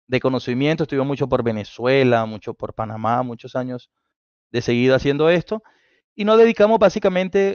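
A man at a fairly quick pace, a quiet background and a dry sound with no echo. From Colombia. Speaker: automotive engineer and instructor; instructor. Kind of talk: technical talk on live stream. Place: home room. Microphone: headset.

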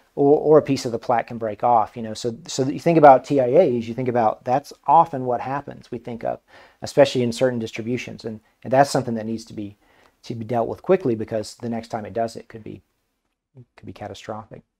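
Against a quiet background, a man with a medium pitch and a dark, mellow tone speaks at a very fast pace with big swings in loudness. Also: ordinary pitch variation. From Ozarks, Arkansas; Arkansas. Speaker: neurologist, stroke center medical director; physician guest lecturer. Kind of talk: lecture. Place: studio.

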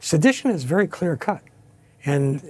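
A man's somewhat breathy voice in a dark, mellow tone, with an American accent, moderate pace and ordinary pitch variation. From Pennsylvania coal region. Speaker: retired army officer and author; analyst. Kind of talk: TV news interview. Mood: passionate, indignant. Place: studio.

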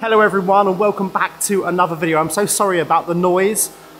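A man's fairly quick, high-pitched voice with fairly even intonation, faint music in the background. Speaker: renovation vlogger. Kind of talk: casual vlog chat. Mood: cheerful, amazed. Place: church. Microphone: phone near.

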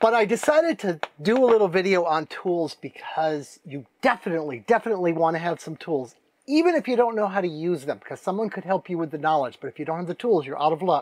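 Very fast and high-pitched, a man talks in a dry sound with no echo. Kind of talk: casual vlog chat. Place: boat.

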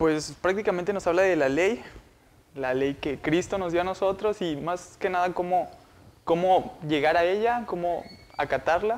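A man speaks at a fairly slow pace in a high pitch, with ordinary pitch variation. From Montemorelos, northern Mexico; Nuevo León, Mexico. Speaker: university student. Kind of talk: Bible study discussion. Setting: university meeting room. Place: studio. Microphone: lapel.

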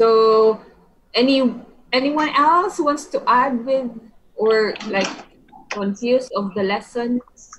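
With long, frequent pauses at a very slow pace, a woman talks at a high pitch with ordinary pitch variation over light background noise. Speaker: English conversation tutor. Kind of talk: online English conversation lesson. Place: home room. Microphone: video call.

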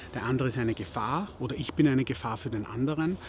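A man talking at a fairly quick pace amid noticeable background noise. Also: dry sound with no echo. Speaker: podcaster. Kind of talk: advice talk to camera. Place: garden.

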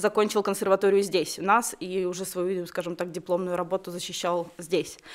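A woman at a moderate pace over a quiet background. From Belarus, Babruysk; Belarus. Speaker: concert organizer; guest. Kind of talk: studio interview. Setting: radio studio. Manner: halting. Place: studio. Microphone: studio mic.

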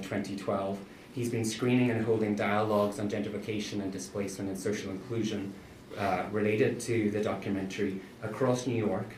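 Fairly quick and fairly even in intonation, the voice is heard with audible room echo and light background noise. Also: man. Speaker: professor. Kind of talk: event introduction. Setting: stage with audience. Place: classroom.

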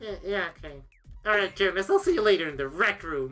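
Faint music plays behind a female-sounding, middle-pitched put-on character voice delivered at a fairly quick pace. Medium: game stream. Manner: excitable, boyish.

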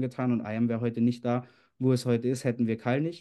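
A dark, mellow tone at a fairly quick pace over a quiet background. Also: man. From Austria. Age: 20s. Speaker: network marketing leader. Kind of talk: motivational talk. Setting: video call. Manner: animated. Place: home room. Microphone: webcam.

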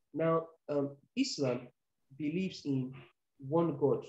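A man with a somewhat breathy voice and fairly even intonation is heard with audible room echo over a quiet background. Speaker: remote interview guest. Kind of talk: interview answer. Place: office. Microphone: earbuds.

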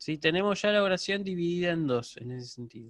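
The speaker's pitch swings very widely at a moderate pace. The sound is dry with no echo over a quiet background. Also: man. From Argentina. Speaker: university lecturer in Ancient Greek; university teacher of Greek. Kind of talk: online lecture; lecture. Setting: video call. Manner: hesitant fillers, repeats words. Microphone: video call.

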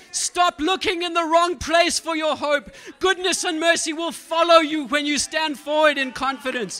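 At a moderate pace, a man speaks in an extremely high, raised and projected voice with an animated tone. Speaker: preacher. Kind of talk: sermon. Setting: church. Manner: animated, exhorting. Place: church. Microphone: handheld.

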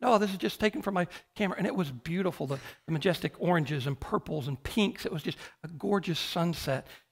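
Talking at a very fast pace, a man uses a high voice. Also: quiet background. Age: 50s. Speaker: pastor. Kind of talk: sermon. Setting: church. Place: church.

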